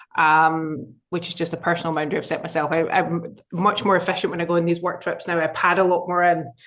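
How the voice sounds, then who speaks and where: In a Scottish accent, a woman talks very fast with hardly any pauses, her fairly low voice flat and monotone. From Scotland. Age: 30s. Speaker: business executive. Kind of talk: interview.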